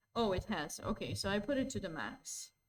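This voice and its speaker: Loud, with vocal fry, a woman speaks at a medium pitch and a moderate pace while her pitch swings very widely. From Balkans. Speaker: chess commentator. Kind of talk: casual chat; live commentary. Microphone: viewers complain it is too quiet.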